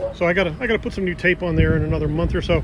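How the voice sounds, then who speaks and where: A man speaks over noticeable background noise. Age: 50s. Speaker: motorcycle vlogger. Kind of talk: casual vlog. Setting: outdoors.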